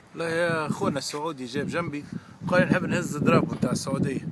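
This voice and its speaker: With a Tunisian accent, a man speaks at a fairly high pitch against noticeable background noise. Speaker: football fan. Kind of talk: interview answer.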